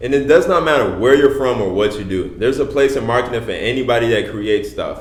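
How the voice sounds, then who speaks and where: A man with an American accent at medium pitch and a very fast pace, amid audible room echo and noticeable background noise. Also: ordinary pitch variation, hardly any pauses. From Chicago. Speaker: podcast co-host, brand strategist. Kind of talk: casual chat.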